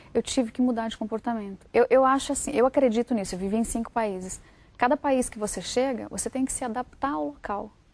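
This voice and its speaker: In a dry, close recording with no echo, a woman with an unremarkable speaking voice talks at a fairly quick pace and a fairly high pitch with ordinary pitch variation. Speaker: writer and journalist. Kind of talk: TV interview.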